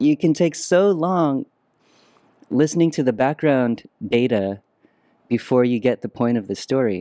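A man with a Vietnamese accent at a medium pitch and moderate pace, lively intonation, a dark, mellow tone and long, frequent pauses, dry and close with no echo on a very clean recording with a silent background. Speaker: musician and former creative director. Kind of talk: casual interview.

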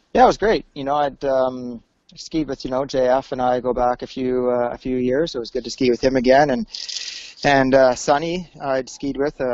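A man talks at a moderate pace. His pitch is medium, and his intonation is fairly even. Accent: Western Canadian. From British Columbia, Canada. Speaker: ski instructor. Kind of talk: casual interview.

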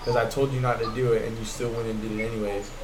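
Male speaker at a moderate pace, noticeable background noise and audible room echo. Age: 20s. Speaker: podcast host and military aviation technician. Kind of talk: casual chat. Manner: animated.

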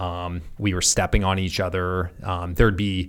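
On a very clean recording with a silent background, a man with a General American accent speaks at a very deep, low pitch. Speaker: tech executive and former Marine officer. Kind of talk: casual chat.

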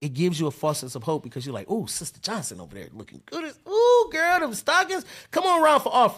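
Recorded very cleanly against a silent background, a man talks at a very fast pace with big swings in loudness. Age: 30s. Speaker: podcast host. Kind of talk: casual chat.

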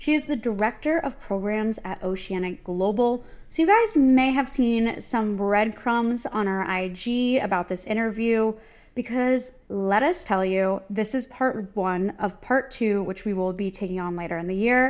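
In a very clean recording with a silent background, a woman with an unremarkable speaking voice speaks fairly slowly in a fairly high pitch with ordinary pitch variation. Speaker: podcast co-host. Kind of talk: casual chat and interview.

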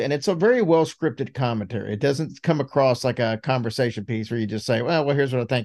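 An unremarkable speaking voice from a man with an American accent, medium in pitch, with ordinary pitch variation, over a quiet background. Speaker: podcast co-host. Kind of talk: casual chat.

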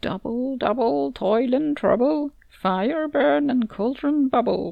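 In a quiet, high, female-sounding put-on character voice, someone cackles at a fairly slow pace. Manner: cackling.

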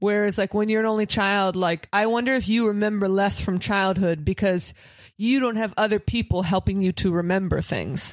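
She has a normal speaking voice at a medium pitch, with fairly even intonation and very even loudness at a moderate pace. The recording is very clean, with a silent background. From Pittsburgh, US. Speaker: comedian. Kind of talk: casual chat.

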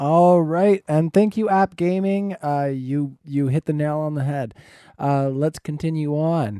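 A man with a Canadian accent speaks in a dark, mellow tone at a fairly slow pace. The sound is dry and close with no echo, and the background is quiet. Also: fairly high pitch for a man, ordinary pitch variation. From Canada. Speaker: debate moderator. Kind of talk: moderating a debate.

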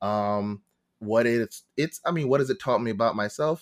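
A man with a New York accent talks at a moderate pace and medium pitch, with ordinary pitch variation. The recording is very clean, with a silent background and a dry, close sound with no echo. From New York, Long Island. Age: 20s. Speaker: actor and Twitch streamer. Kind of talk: casual chat.

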